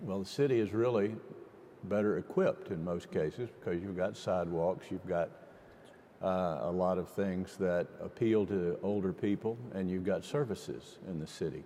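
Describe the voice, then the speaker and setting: A man's very deep, low voice with a dark, mellow tone, moderate pace and ordinary pitch variation. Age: 60s. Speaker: mayor. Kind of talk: panel discussion.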